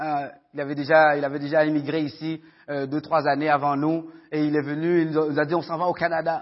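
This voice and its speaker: A man speaks at a fairly high pitch. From Haiti, raised in Quebec (Montreal area) from age 14. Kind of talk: testimony. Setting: church with audience, microphone. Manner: halting, many fillers and repetitions.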